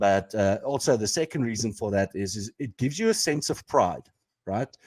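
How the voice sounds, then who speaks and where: Lively intonation in an Afrikaans accent, with a dry, close sound and no echo. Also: man, medium pitch for a man, moderate pace. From South Africa, Pretoria. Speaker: podcast co-host. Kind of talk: casual chat.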